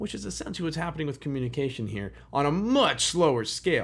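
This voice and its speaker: This voice, with an American accent, moves at a fairly quick pace through very wide pitch swings. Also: man. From Chicago, US Midwest. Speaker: history podcast host. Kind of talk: history narration. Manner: casual, conversational.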